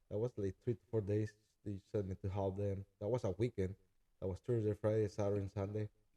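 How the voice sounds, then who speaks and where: In a Spanish accent, a man speaks at a fairly quick pace with a fairly low pitch, a dark, mellow tone and monotone, flat intonation, in a dry, close sound with no echo. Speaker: chef and food truck owner. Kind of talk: casual interview. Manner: halting.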